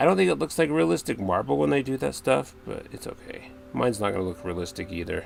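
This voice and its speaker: With music in the background, a man with a very deep, low pitch races along at a very fast pace, his pitch swinging very widely and hardly any pauses breaking his speech. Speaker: crafting streamer. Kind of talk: livestream chat while crafting. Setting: livestream. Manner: casual, chatty.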